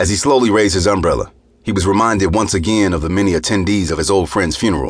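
The voice reads in a natural way. Throughout, it is a natural reading voice.

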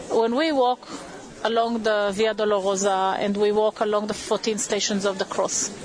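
Over noticeable background noise, a woman with a fairly high pitch talks at a moderate pace. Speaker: historian and tour guide. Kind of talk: on-location walking tour guide narration, pointing out sites. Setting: outdoors on location. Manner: measured, explanatory, gently reverent.

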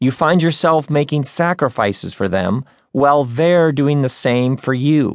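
A normal speaking voice from a man, fairly high in pitch and fairly slow, over a quiet background. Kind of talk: audiobook narration, reading a self-help book aloud. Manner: smooth, measured, warmly conversational reading.

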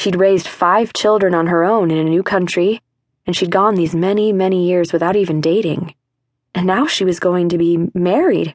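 A woman with a plain, everyday voice speaks at a moderate pace and a medium pitch, her intonation fairly even and her loudness very even. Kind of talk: audiobook narration. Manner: measured, storytelling pace with a warm tone; shifts to an Irish brogue for the grandmother's dialogue.

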